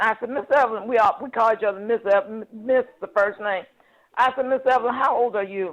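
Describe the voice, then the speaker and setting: A woman talks fairly quickly in a normal speaking voice, her fairly high pitch moving with ordinary variation. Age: 60s. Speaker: team member sharing on a training call. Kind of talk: testimony.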